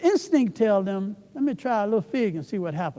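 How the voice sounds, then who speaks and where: This man's pitch moves through very wide swings. His tone is dark and mellow. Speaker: church elder and preacher. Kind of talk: sermon.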